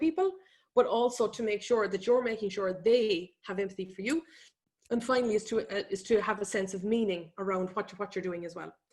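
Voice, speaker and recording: A woman with an Irish accent talks at a very fast pace, her pitch fairly high and her pitch variation ordinary. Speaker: economist and business speaker. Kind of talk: webinar presentation. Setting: online webinar.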